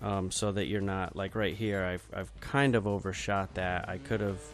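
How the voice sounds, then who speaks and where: Over music in the background, a man speaks at a moderate pace in a fairly low, tired tone. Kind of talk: casual video game review commentary. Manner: monotone, tired.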